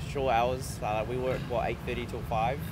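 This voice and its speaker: With a New Zealand accent, a man speaks at a medium pitch, and audible room echo surrounds his voice. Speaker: foreign tourist interviewed in park. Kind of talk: casual interview. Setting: outdoors in a park. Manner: hesitant.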